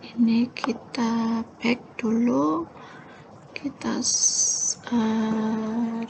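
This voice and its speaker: Soft-spoken and fairly high in pitch, a woman talks over noticeable background noise. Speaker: lecturer. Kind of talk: tutorial. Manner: halting.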